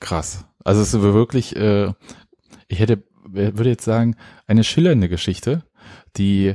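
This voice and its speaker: In a very clean recording with a silent background and a dry, close sound with no echo, a man speaks at a very slow pace. His fairly low voice has a dark, mellow tone and ordinary pitch variation. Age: older than co-host. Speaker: podcast co-host. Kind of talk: casual chat. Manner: halting.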